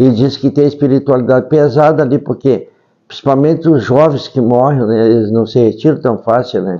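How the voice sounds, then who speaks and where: At a moderate pace, the voice has a dark, mellow tone and big swings in loudness. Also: man, medium pitch for a man, ordinary pitch variation. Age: 70s. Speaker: elderly storyteller. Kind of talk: casual interview storytelling. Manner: halting.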